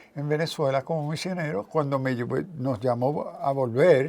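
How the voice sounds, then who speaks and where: A man's fairly high voice with a non-native accent, ordinary pitch variation and a moderate pace. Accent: noticeable non-native accent in Spanish. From New York (South Bronx), Puerto Rican parents. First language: English (speaking Spanish). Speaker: theologian and professor. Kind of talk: interview.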